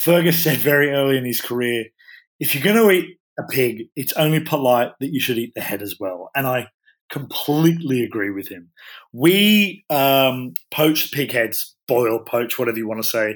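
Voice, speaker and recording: A man's unremarkable speaking voice at medium pitch, with lively intonation, a moderate pace, and a very clean recording against a silent background. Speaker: chef. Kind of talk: casual interview chat.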